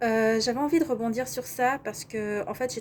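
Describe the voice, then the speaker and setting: The speaker is a woman with an ordinary speaking voice, fairly high in pitch. She keeps a moderate pace and ordinary pitch variation. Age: 30s. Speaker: life coach. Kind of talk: vlog monologue.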